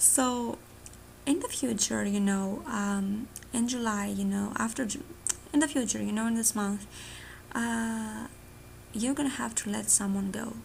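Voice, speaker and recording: A woman with a Greek accent speaks at a fairly slow pace, pausing long and often. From Greece. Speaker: tarot reader. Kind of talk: tarot reading monologue. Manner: casual, filler-heavy.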